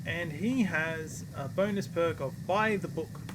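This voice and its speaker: A man's fairly high-pitched voice comes through with noticeable echo from the room. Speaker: video game streamer. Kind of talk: gameplay livestream commentary with reading game text aloud. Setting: live stream. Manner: slurring; halting, frequent self-corrections.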